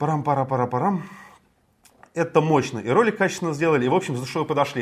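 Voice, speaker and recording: A man with a fairly high pitch speaks on a very clean recording with a silent background. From Moscow, Russia. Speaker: morning political show co-host. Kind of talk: casual political talk show.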